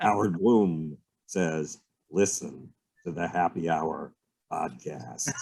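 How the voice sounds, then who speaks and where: A put-on character voice from a man, very deep and low in pitch, at a very slow pace with long, frequent pauses. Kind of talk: old-time radio announcer.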